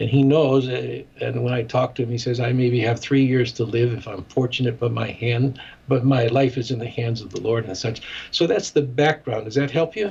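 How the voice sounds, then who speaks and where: Over noticeable background noise, a man with an American accent speaks at a moderate pace with fairly even intonation. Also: medium pitch for a man. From US Midwest, Chicago. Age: 70s. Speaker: ministry director and former radio broadcaster. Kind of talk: interview.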